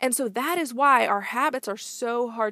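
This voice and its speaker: Dry and close with no echo, a woman's fairly high, animated voice comes through on a very clean recording with a silent background. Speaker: business leadership coach, podcast host. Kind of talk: solo podcast monologue, motivational.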